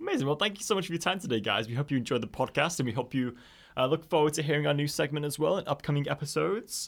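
A man's fairly high, lively voice, a plain, everyday voice, on a very clean recording with a silent background. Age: 20s. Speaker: podcast host. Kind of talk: casual chat. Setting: studio.

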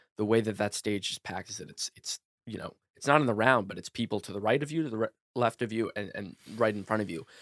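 A man with an American accent at a very fast pace, fairly low in pitch, with ordinary pitch variation, big swings in loudness, and a dry, close sound with no echo. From US South, New Orleans. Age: 20s. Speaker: sketch comedian. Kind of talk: casual interview chat. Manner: halting with many fillers.

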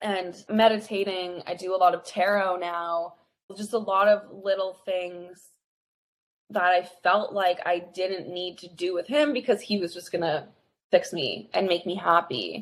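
A woman at medium pitch with an unremarkable speaking voice, fairly even intonation, a fairly slow pace and big swings in loudness. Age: 20s. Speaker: relationship and breakup coach. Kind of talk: casual chat.

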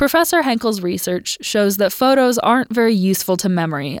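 With an unremarkable speaking voice, a woman of medium pitch talks fairly quickly and with lively intonation. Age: 20s. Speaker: student podcast host. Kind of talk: scripted narration.

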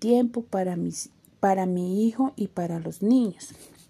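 Speaking at a very slow pace, a woman with a dark, mellow tone and medium pitch uses ordinary pitch variation on a very clean recording with a silent background. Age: 20s. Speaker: university student. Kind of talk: scripted narration.

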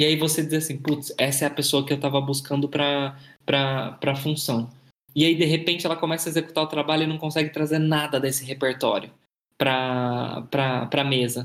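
A man's fairly high-pitched voice, monotone and flat in intonation, at a moderate pace. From Brazil, Minas Gerais interior. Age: 20s. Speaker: marketing manager. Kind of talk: interview.

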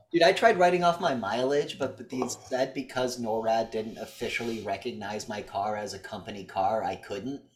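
A man with an unremarkable speaking voice talks at a moderate pace and medium pitch, with lively intonation, big swings in loudness and hardly any pauses. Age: 30s. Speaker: podcast co-host. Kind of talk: casual chat.

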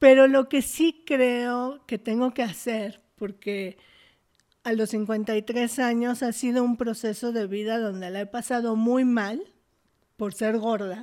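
A woman's fairly high, dark, mellow voice at a very slow pace with fairly even intonation. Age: 50s. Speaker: performance artist and activist. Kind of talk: interview conversation.

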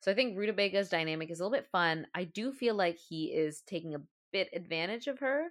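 A woman with a Canadian accent, an unremarkable speaking voice of medium pitch, fairly quick with hardly any pauses and lively intonation. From Canada. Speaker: podcast co-host. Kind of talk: casual chat.

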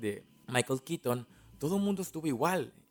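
A man's voice with lively intonation, dry and close with no echo, in a very clean recording with a silent background. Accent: Mexican. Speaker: podcast host. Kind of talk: film analysis monologue. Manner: casual.

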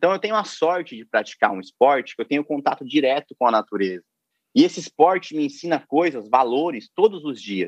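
A man's fairly high voice at a fairly quick pace, with very wide pitch swings, a dry, close sound with no echo, and a quiet background. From interior of São Paulo state, Brazil. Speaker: canoe slalom athlete. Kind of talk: casual interview chat.

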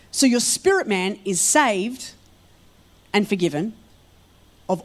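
Speaking with an Australian accent, a woman uses lively intonation at a fairly high pitch. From Australia, Melbourne and rural Victoria. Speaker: guest pastor. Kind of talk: sermon. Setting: church service with congregation.

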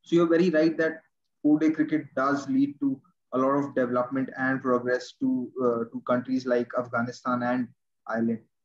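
Here a man speaks in a normal speaking voice at medium pitch. His pace is moderate and his intonation fairly even. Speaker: podcast host. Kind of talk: interview chat.

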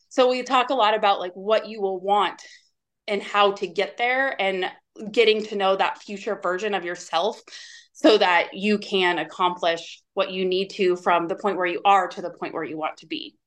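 A plain, everyday voice at a moderate pace, with ordinary pitch variation. The loudness swings widely from moment to moment. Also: woman, medium pitch for a woman. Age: 40s. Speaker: nutrition coach. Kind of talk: casual interview.

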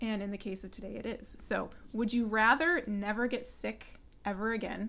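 Vocal fry runs through a woman's fairly high voice. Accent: American. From California, San Luis Obispo. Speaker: podcast host and personal trainer. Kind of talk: interview.

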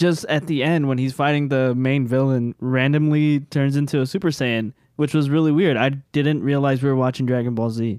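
A man with an ordinary speaking voice, medium in pitch, with fairly even intonation. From Cuban-American family. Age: 20s. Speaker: tabletop role-play podcaster. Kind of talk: casual chat.

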